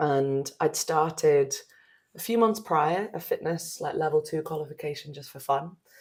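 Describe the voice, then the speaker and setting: Somewhat breathy, a woman talks at a moderate pace in a very deep, low pitch with ordinary pitch variation. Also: big swings in loudness. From northern England, Newcastle. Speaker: yoga and breathwork teacher. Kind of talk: casual interview chat.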